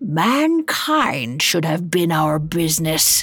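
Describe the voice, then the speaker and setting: A woman puts on a growling character voice at a fairly low pitch. She speaks at a very slow pace. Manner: stern, accusing.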